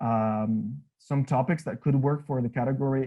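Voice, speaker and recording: This man has a medium pitch and ordinary pitch variation. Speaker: teacher trainer. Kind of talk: workshop presentation. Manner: fast.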